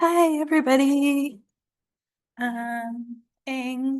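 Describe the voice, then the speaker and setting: A woman's voice with fairly even intonation. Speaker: Native artist and illustrator. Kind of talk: artist talk. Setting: museum talk with audience. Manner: soft-spoken.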